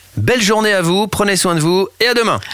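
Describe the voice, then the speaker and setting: A man is speaking. Music plays in the background. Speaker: radio host. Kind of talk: casual chat. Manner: animated.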